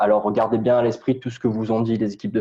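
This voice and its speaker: This is a man's voice. Its pitch sits in the medium range. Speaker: digital media consultant. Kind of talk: webinar presentation. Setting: online webinar. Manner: fast; hesitant, many fillers.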